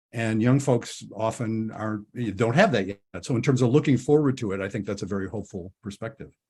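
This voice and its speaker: A somewhat breathy man's voice at medium pitch, fairly quick pace and ordinary pitch variation, on a very clean recording with a silent background. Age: 70s. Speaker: couples therapist and podcast host. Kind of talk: interview. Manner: halting.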